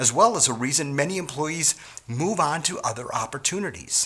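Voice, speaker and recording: A man with an American accent speaks at a moderate pace, his pitch swinging very widely. Noticeable background noise is present. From US Midwest, Wisconsin. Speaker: sales trainer. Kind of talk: training talk.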